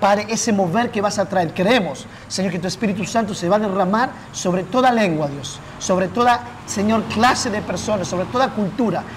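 With an Argentine accent, a man talks at a fairly quick pace in a high voice, with few pauses and ordinary pitch variation. Clear background noise can be heard.

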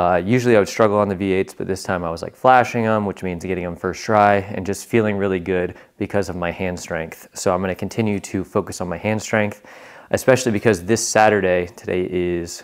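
With a very deep, low pitch and fairly even intonation, a man talks at a fairly quick pace. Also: quiet background. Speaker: vlogger. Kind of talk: casual vlog chat. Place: gym. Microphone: lapel.

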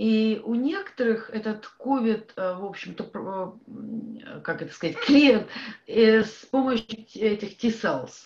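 Speaking fairly slowly with a Russian accent, a woman uses a fairly high pitch and ordinary pitch variation. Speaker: audience member. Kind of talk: audience question. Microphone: video call.

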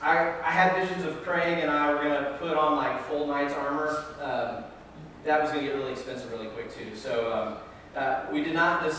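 A man speaks at a moderate pace. Light background noise sits under strong room echo. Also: ordinary pitch variation. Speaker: pastor. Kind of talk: sermon. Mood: light, humorous. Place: church.

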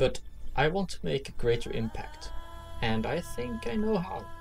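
Music plays in the background as a man with a Swedish accent talks at a fairly slow pace. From Sweden. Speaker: student applicant. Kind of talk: presentation voice-over narration.

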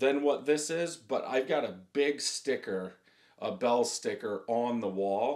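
Lively intonation runs through a man's speech in a quiet setting. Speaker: beer reviewer. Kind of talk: casual review chat. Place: home room.

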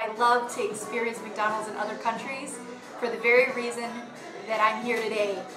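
A woman talks at a moderate pace. Noticeable background noise sits behind her. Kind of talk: casual vlog chat.

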